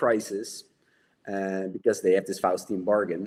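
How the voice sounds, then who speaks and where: A Dutch accent shapes the speech. The voice belongs to a man. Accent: Dutch accent, noticeable. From Netherlands. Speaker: horror novelist. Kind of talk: casual chat.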